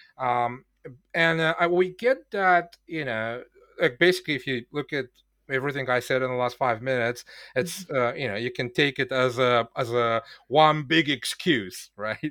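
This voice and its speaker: The speaker has a non-native accent and a bright, sharp tone, talking at a moderate pace with ordinary pitch variation. It is a very clean recording with a silent background. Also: man, medium pitch for a man. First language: not English. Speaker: software developer working on online courses. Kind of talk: podcast interview. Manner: halting, many fillers.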